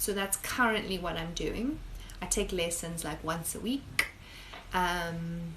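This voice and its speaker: With audible room echo and noticeable background noise, a woman speaks very slowly at a fairly low pitch. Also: ordinary pitch variation. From South Africa. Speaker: high school biology teacher. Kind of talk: casual live-stream Q&A. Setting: live stream. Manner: chatty, conversational.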